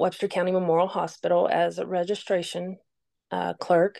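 Someone with an Appalachian accent talks at a moderate pace in monotone, flat intonation, heard dry and close with no echo against a quiet background. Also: woman. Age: 50s. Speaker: boutique owner. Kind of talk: interview storytelling.

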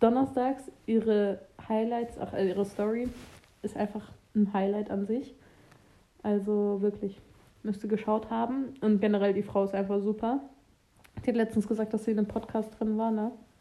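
Delivered at a moderate pace with long, frequent pauses, the voice has a dark, mellow tone and monotone, flat intonation. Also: woman, fairly high pitch for a woman. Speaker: podcast co-host, student. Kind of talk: casual chat.

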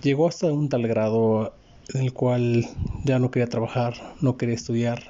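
At a moderate pace, a man speaks with a medium pitch, a dark, mellow tone and little pitch movement.

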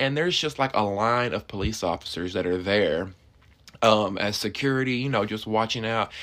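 A man talks at a moderate pace. His pitch is fairly low, with ordinary pitch variation. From Alabama, US South. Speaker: podcast host. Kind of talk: casual solo monologue. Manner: animated.

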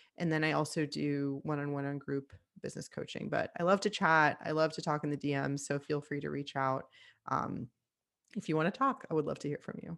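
A woman's very deep, low voice with an American accent, fairly even intonation and a fairly quick pace, in a very clean recording with a silent background. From Miami, Florida, US. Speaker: nutritional therapist. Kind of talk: casual chat.

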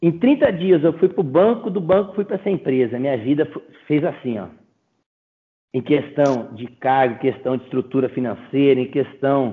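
With very wide pitch swings, a man speaks with long, frequent pauses. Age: 30s. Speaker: agribusiness sales representative. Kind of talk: casual interview chat. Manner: animated.

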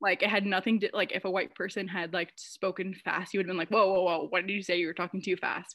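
This woman speaks very fast with hardly any pauses, in an American accent. Her pitch is medium and her intonation is monotone and flat. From United States. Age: 20s. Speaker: graduate student. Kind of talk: casual chat. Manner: fast talker.

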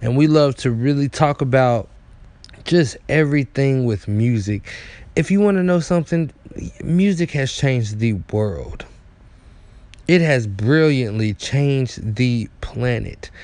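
Animated in tone and lively in intonation, a man with a medium pitch speaks at a fairly slow pace with long, frequent pauses. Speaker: podcast host. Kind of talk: casual solo monologue, podcast intro. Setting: live radio/streaming show. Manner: animated, hype, informal.

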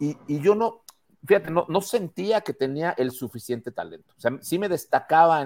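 A man talks with lively intonation in a Mexican accent. The recording is very clean with a silent background and a dry, close sound with no echo. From Mexico. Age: 50s. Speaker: advertising executive. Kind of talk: casual chat.

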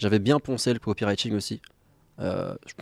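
The recording is very clean with a silent background, the sound dry and close with no echo, and the intonation fairly even. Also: man. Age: 20s. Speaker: salesperson. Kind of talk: casual chat.

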